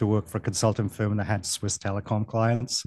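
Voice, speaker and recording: With a Welsh accent, a man speaks in a fairly low pitch and a monotone, flat intonation, the sound dry and close with no echo. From Wales. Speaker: vacation rental business consultant. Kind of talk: casual interview.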